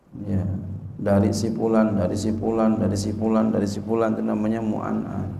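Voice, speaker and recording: With audible room echo and light background noise, a man speaks fairly quickly at a fairly low pitch in a monotone, flat way. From Indonesia. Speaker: Islamic cleric teaching a hadith text; religious teacher. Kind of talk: religious lecture, reading and explaining Arabic text. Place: hall. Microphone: podium.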